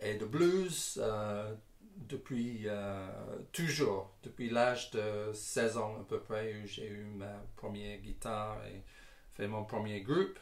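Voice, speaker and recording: In a room with audible echo, a man with a fairly low voice talks at a very slow pace, with big swings in loudness and ordinary pitch variation. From England, Northamptonshire. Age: 60s. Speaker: singer-songwriter and guitarist. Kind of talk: interview answers. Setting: garage. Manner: halting, many hesitations.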